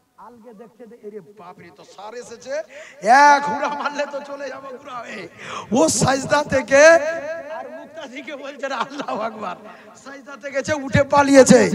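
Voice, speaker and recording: Big swings in loudness and ordinary pitch variation, over noticeable background noise. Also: man, extremely high pitch for a man. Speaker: Islamic preacher. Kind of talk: sermon.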